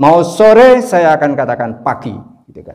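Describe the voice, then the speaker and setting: A man speaks at a very slow pace with very wide pitch swings, and room echo can be heard. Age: 60s. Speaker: Islamic preacher and business teacher. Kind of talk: religious business lecture. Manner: casual, joking.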